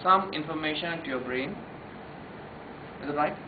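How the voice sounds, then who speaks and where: With a Telugu accent, a man talks fairly quickly with ordinary pitch variation, amid noticeable background noise and audible room echo. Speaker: memory trainer. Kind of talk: workshop lecture. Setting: room with live audience. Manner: animated.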